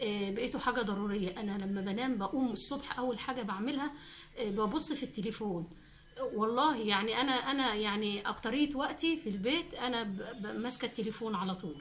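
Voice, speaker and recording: With audible room echo and noticeable background noise, a woman speaks at a moderate pace, her fairly high pitch showing ordinary variation. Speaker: cooking channel host. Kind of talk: casual chat to viewers. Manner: halting, many fillers and restarts.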